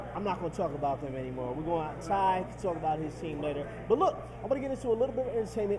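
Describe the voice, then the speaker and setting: A man talks at a very fast pace in a high voice with very wide pitch swings, over noticeable background noise. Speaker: mix show host. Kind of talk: casual show monologue. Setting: restaurant/bar venue. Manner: stuttering, hesitant.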